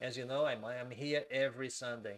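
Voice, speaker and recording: Here a man talks in a Brazilian accent at a medium pitch. His intonation is fairly even. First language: Portuguese. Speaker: civil engineer and migration advisor. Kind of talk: live stream Q&A tutorial. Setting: live stream. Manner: slow, deliberate; hesitant, many fillers.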